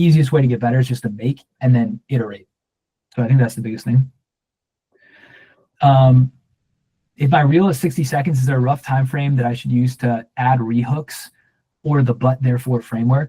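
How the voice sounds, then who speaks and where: A man with a dark, mellow tone and medium pitch speaks fairly quickly, somewhat breathy, with fairly even intonation. Long, frequent pauses break up the dry, close sound with no echo. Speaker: workshop instructor. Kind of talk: Q&A session in a workshop. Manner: casual, with many filler words and false starts.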